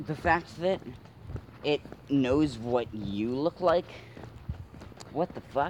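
Over noticeable background noise, the speech moves at a very slow pace with long, frequent pauses and lively intonation. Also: man, fairly high pitch for a man. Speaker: co-host. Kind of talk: casual banter.

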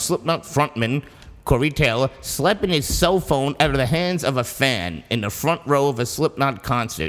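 This man's intonation is lively. Vocal fry runs through his voice. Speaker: podcast co-host reading music news. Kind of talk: reading news items aloud. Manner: hurried.

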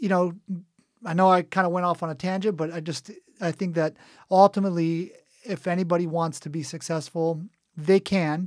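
A man with an American accent talks at a moderate pace, his pitch high and his intonation fairly even, leaving long, frequent pauses. The recording is very clean with a silent background. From southern California. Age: 40s. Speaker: entrepreneur. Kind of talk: interview. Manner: halting, many fillers.

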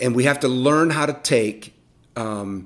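Fairly slow and lively in intonation, a man speaks at medium pitch in an unremarkable speaking voice. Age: 50s. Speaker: youth ministry leader. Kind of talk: interview.

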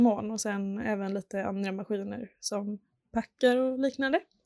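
Fairly slow and fairly even in intonation, a woman speaks in a dark, mellow tone on a very clean recording with a silent background and a dry, close sound with no echo. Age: 20s. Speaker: packaging designer. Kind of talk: interview.

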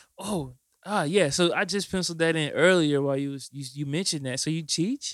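At a fairly quick pace, a man with a fairly high pitch talks with ordinary pitch variation. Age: 20s. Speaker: podcast host and rapper. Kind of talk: casual chat.

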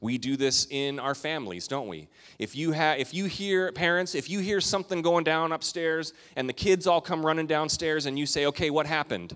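Over a very clean recording with a silent background, a man speaks at a moderate pace in a plain, everyday voice with a fairly high pitch. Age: 40s. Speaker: pastor. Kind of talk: sermon. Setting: church.

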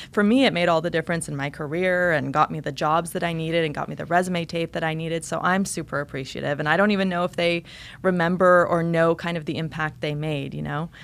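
Speaking at a very fast pace with an American accent, a woman uses a fairly low pitch and fairly even intonation in a very clean recording with a silent background. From rural eastern Oregon, US. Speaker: TV news anchor. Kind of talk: interview. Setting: studio.

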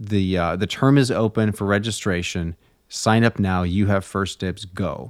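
On a very clean recording with a silent background, a man with an unremarkable speaking voice talks at a moderate pace in a fairly low pitch. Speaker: magazine podcast host. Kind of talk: casual conversation.

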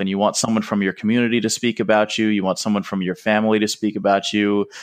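A man's fairly low-pitched, an unremarkable speaking voice at a fairly quick pace. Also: quiet background. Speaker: podcast co-host. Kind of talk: casual chat.

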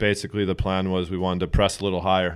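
A man with a very deep, low voice talks at a very fast pace in a flat monotone. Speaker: soccer club coach or player. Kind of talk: casual interview. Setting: studio.

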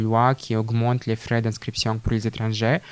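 A man's medium-pitched monotone with a Russian accent, flat in intonation, in a very clean recording with a silent background. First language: Russian (speaking French). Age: 20s. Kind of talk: interview. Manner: halting.

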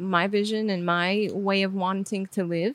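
A woman speaks in a flat, monotone way with an Armenian accent. Her pitch sits in the middle range and her pace is fairly slow. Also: very clean recording, silent background. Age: 20s. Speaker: video creator. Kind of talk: interview.

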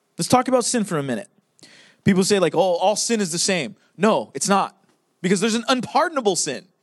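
Against a quiet background, a man speaks at a very fast pace in a high pitch, animated in tone with lively intonation. His speech is broken by long, frequent pauses. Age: 30s. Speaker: pastor. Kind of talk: sermon.

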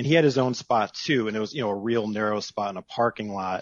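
A man with an ordinary speaking voice talks at a medium pitch with fairly even intonation. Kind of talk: casual chat.

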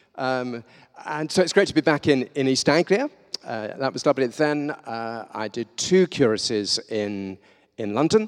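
A man with a southern English accent speaks at a moderate pace and medium pitch, his intonation lively and his loudness swinging widely, in a dry, close sound with no echo. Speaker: visiting preacher. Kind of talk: sermon. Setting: church. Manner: halting.

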